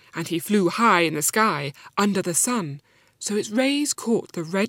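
Someone reads in a natural reading voice.

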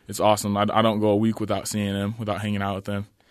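A man talks at a very fast pace with an American accent against a quiet background. His fairly low voice stays monotone and flat. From Utah. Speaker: college basketball player. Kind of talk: interview.

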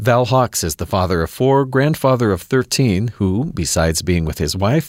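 Recorded very clean with a silent background and a dry, close sound with no echo, a man with an unremarkable speaking voice talks at a moderate pace with lively intonation. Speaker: radio host. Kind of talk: interview.

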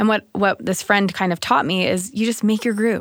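In a dry, close sound with no echo, a woman with an American accent uses a normal speaking voice at medium pitch, talking at a fairly quick pace with fairly even intonation. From Utah. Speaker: mother of five on parenting panel. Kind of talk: casual chat.

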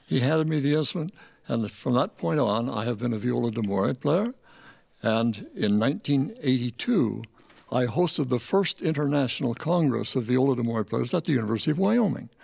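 A man with a normal speaking voice talks at a medium pitch and moderate pace, keeping very even loudness and lively intonation. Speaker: viola d'amore expert and teacher.

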